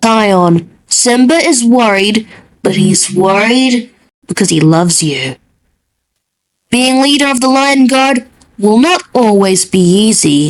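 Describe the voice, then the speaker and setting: Using a put-on character voice, a woman speaks with long, frequent pauses. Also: fairly high pitch for a woman, fairly slow pace. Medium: fan dub. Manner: calm, gentle.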